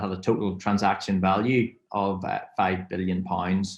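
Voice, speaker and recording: Moderate pace from a man in a Northern Irish accent. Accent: Northern Irish (Belfast). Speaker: fintech software representative. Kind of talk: webinar presentation. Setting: webinar.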